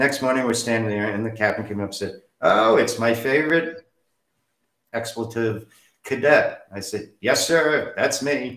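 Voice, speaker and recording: The speaker talks at a moderate pace with an American accent and ordinary pitch variation. There are long, frequent pauses and audible room echo. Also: man, medium pitch for a man. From New Jersey, US. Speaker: interview guest sharing life story. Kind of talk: personal storytelling interview. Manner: animated.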